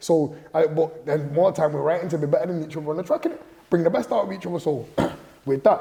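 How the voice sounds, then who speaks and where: Speaking at a very fast pace, a man shows ordinary pitch variation. Noticeable background noise is present. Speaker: rapper. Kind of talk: casual interview storytelling. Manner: animated, repetitive fillers.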